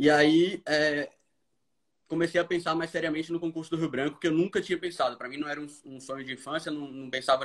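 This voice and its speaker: Very fast, fairly high-pitched male speech with fairly even intonation. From Brazil, Recife (Pernambuco). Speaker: diplomat. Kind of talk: casual live-stream chat.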